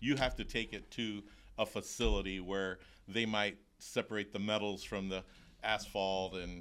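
Over a silent background in a very clean recording, a man with an American accent talks in a plain, everyday voice at a fairly low pitch. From Florida, Tampa. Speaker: roofing sales representative. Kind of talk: casual interview chat. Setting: studio.

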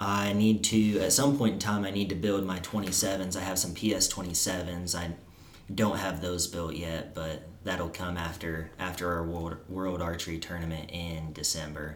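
Speaking with a Missouri accent, a man has a very deep, low pitch. He moves at a fairly slow pace with fairly even intonation. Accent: Midwestern US, Missouri. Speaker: college archer and guest. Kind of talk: casual chat.

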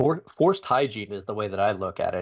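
A man with a plain, everyday voice speaks at a fairly quick pace and medium pitch, over a quiet background. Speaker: security consultant. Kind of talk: casual chat. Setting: remote video call. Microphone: very good mic.

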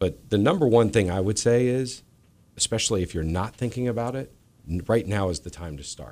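This is an ordinary speaking voice. It moves at a fairly quick pace with lively intonation. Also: man. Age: 50s. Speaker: moving company owner. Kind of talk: radio interview. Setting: radio studio.

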